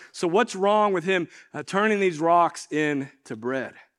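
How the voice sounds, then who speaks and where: This man's voice is high-pitched with ordinary pitch variation. He talks at a moderate pace against a quiet background. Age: 40s. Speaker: pastor. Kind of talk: sermon. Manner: hesitant fillers.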